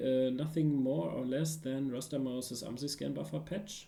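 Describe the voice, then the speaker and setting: A man with a non-native accent and a dark, mellow tone, at a moderate pace with ordinary pitch variation. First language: not English. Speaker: security researcher streaming a tutorial. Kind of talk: live-stream tutorial. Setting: live stream with chat. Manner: halting, many fillers and restarts.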